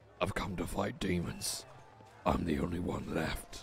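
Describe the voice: A man puts on a raspy character voice at a moderate pace. Background noise is clearly audible.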